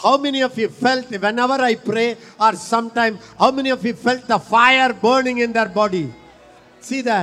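An animated man projects a raised voice at an extremely high pitch, bright and sharp in tone, at a moderate pace. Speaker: preacher. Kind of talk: sermon. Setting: church.

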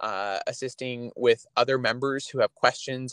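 In a dry, close recording with no echo, a man with an ordinary speaking voice and a Canadian accent talks at a medium pitch and a fairly quick pace. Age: 20s. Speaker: provincial politician. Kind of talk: interview.

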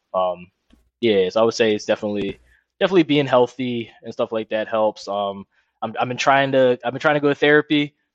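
A plain, everyday voice with an American accent talks at a fairly quick pace. The sound is dry and close, with no echo. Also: man, medium pitch for a man, ordinary pitch variation, quiet background. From Philadelphia suburbs. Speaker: entrepreneur. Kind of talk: interview. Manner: casual.

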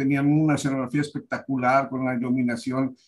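Fairly high in pitch and fairly even in intonation, a man talks in a plain, everyday voice. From Monterrey, Nuevo León, Mexico. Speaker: theatre director. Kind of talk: interview.

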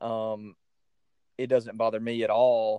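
Recorded dry and close with no echo, a man at medium pitch talks with a Southern US accent. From US South. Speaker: podcast host. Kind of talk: casual chat.

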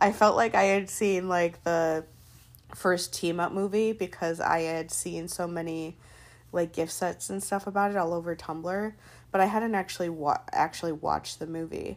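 Over a very clean recording with a silent background, a woman with an ordinary speaking voice talks at a moderate pace in a fairly low pitch with fairly even intonation. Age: 30s. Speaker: podcaster. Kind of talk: solo monologue. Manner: casual, many filler words.

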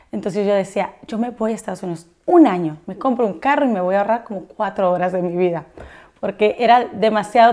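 A woman talks at a fairly quick pace with lively intonation and fairly high pitch, in a normal speaking voice. The recording is very clean, with a silent background. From Mexico. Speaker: entrepreneur and influencer. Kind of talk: interview.

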